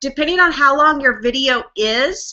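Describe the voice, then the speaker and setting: Her pitch rises and falls in an ordinary way. The speaker is a woman. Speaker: online marketing trainer. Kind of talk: tutorial. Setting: live webinar screen share. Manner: casual, filler-heavy.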